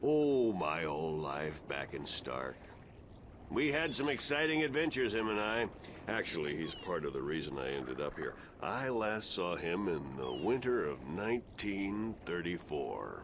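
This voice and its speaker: Putting on a gruff character voice, a man speaks at a very deep, low pitch and a moderate pace over clear background noise. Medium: video game. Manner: gruff, cursing.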